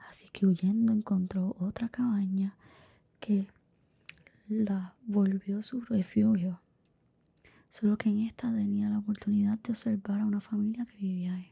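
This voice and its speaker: A soft-spoken whisper at a fairly slow pace, broken by long, frequent pauses. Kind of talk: bedtime story narration. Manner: whispered, soft-spoken.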